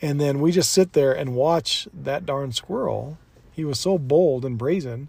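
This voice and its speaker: A somewhat breathy man's voice, fairly high, with ordinary pitch variation and a fairly slow pace. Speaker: podcast co-host. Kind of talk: casual chat. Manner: animated announcer-style delivery.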